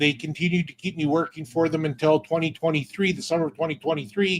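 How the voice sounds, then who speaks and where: Quick-paced speech comes from a man with a western Canadian accent. His pitch is fairly high, with ordinary variation. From Alberta, Canada. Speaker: online business owner. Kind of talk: interview. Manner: halting.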